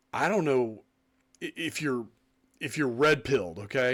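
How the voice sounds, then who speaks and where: Over a very clean recording with a silent background, a man talks at a fairly quick pace and a medium pitch with ordinary pitch variation, in a normal speaking voice. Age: 50s. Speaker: podcast host. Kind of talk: casual chat.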